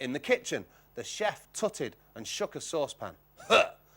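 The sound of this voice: Reading done in an unforced voice.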